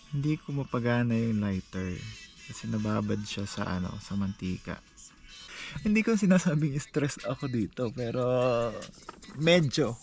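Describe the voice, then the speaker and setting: A man speaks at a fairly slow pace over clear background music, the sound dry with no echo. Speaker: solo camper vlogger. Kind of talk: casual vlog chat. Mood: amused, mildly frustrated. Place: tent. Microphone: phone near.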